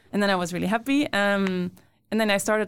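In a very clean recording with a silent background, a woman with a Brussels accent speaks with fairly even intonation. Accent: Belgian (Brussels) accent in English. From Belgium, Brussels. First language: Dutch, French and Italian. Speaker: photographer. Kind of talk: casual chat. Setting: studio.

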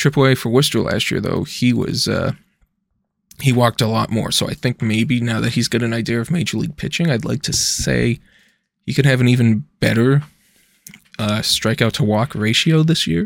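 A man speaks at a moderate pace in an unremarkable speaking voice, medium in pitch with ordinary pitch variation. The sound is dry and close, with no echo. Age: 20s. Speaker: sports podcast host. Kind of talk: solo casual commentary.

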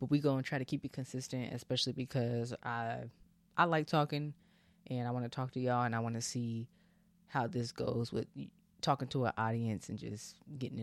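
With an ordinary speaking voice, a man talks at a fairly quick pace in a dry, close sound with no echo on a very clean recording with a silent background. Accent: American. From California, Bay Area. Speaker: podcast host. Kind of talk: casual solo monologue.

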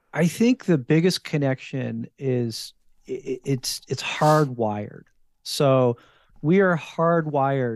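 With an American accent, this man has an unremarkable speaking voice at a medium pitch with ordinary pitch variation, recorded with a dry, close sound with no echo against a quiet background. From New Jersey, US. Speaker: wild game chef. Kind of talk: casual interview.

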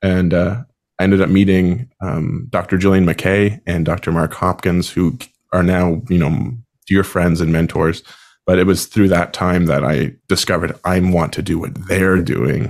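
A man speaks with a Maritime Canadian accent at a very deep, low pitch. The recording is very clean, its background silent. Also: ordinary pitch variation, moderate pace. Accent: Canadian (Maritimes). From Canada, Prince Edward Island. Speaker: band conductor and podcast host. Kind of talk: casual chat.

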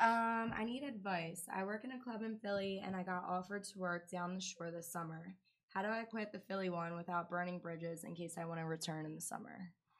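In an ordinary speaking voice, a woman talks at a fairly quick pace. Her pitch is medium, with ordinary variation. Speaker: co-host, club worker. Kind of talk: casual chat.

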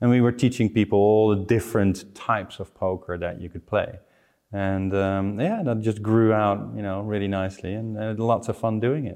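A man with a Dutch accent speaks in a fairly low voice with fairly even intonation. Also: moderate pace. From Netherlands. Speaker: online community expert. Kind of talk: casual interview.

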